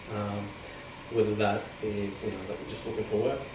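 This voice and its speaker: A man with an Australian accent speaks at a fairly low pitch. Noticeable background noise and audible room echo are present. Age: 30s. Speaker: fashion merchandiser. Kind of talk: casual podcast conversation. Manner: hesitant, many fillers.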